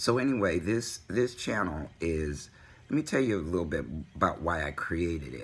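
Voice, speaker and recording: Using vocal fry at a very deep, low pitch, a man with an American accent talks at a moderate pace with very wide pitch swings. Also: very clean recording, silent background. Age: 60s. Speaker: vlogger. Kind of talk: personal vlog. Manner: halting, many fillers.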